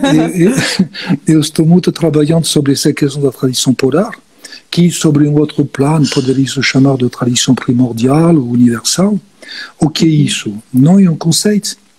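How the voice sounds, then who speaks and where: A man at a fairly high pitch and moderate pace, with ordinary pitch variation, very even loudness and noticeable background noise. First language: not Portuguese (speaking Portuguese). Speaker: guest expert on symbolism. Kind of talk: live-stream conversation. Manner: halting, frequent fillers.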